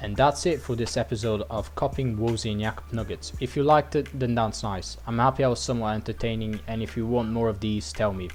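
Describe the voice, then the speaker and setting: At a very fast pace with hardly any pauses, a man's fairly low voice makes very wide pitch swings. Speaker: gaming youtuber. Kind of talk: game level review. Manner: stuttering.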